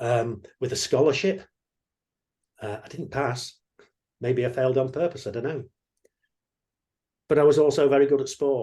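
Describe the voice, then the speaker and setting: With an English accent and a dark, mellow, somewhat breathy tone, a man speaks with ordinary pitch variation and long, frequent pauses. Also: fairly high pitch for a man, moderate pace. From England. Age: 60s. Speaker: mindset coach. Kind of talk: online workshop talk.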